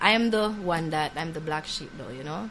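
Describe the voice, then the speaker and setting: Noticeable background noise sits behind a woman whose pitch is very deep and low. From Jamaica, Ocho Rios. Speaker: singer-songwriter. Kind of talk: interview. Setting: studio.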